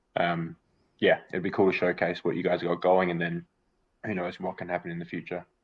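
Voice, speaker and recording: At a fairly quick pace, a man with an Australian accent speaks in a very deep, low pitch. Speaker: metaverse community representative. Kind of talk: product overview in live stream.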